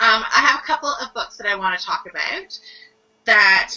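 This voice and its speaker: A woman speaks in an ordinary speaking voice, pitched fairly high. Her intonation is lively. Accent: Canadian. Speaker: book reviewer. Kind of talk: casual chat.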